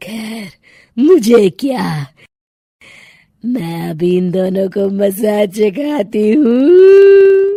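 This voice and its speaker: A woman's cartoonish character voice, fairly high-pitched and menacing in tone, at a very slow pace. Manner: cackling, menacing.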